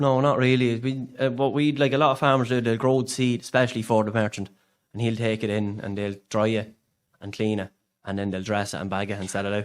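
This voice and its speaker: This man has an Irish accent and a medium pitch. He talks fairly quickly with fairly even intonation. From Ireland, County Louth. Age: 30s. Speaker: part-time farmer. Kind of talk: podcast interview answer.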